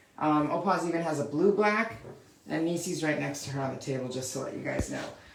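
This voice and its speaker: A woman with a very deep, low pitch talks at a very fast pace. Audible room echo and noticeable background noise fill the recording. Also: ordinary pitch variation. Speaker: dog groomer. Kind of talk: live tutorial. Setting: live stream, grooming table. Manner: loud; casual, chatty.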